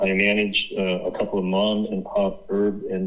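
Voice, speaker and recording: With fairly even intonation, a man uses a normal speaking voice at a fairly low pitch. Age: 60s. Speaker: author and activist researcher. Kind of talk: interview.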